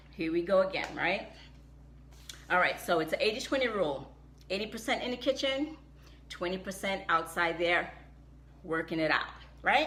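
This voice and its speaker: With audible room echo, a woman speaks in an animated tone at a moderate pace, her pitch swinging very widely between long, frequent pauses. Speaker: health and wellness vlogger. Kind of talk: live stream talk.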